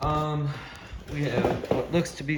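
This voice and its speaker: Speaking at a very slow pace, a man is heard with audible room echo and noticeable background noise. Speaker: radio restoration hobbyist. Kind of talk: tutorial. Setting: home workshop. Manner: casual, filler-heavy.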